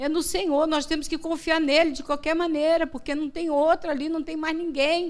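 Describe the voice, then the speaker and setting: The background is silent and the recording very clean. A woman does the talking. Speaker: missionary preacher. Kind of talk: sermon. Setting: church.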